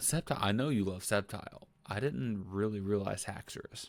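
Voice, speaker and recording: The speaker is a man with a fairly low voice and ordinary pitch variation. He talks at a moderate pace. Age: 20s. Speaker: gaming reaction youtuber. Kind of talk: casual reaction commentary. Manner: animated.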